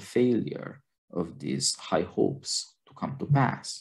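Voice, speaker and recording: Vocal fry marks this man's dark, mellow tone, which moves through very wide pitch swings. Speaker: podcast host. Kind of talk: film discussion podcast. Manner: formal.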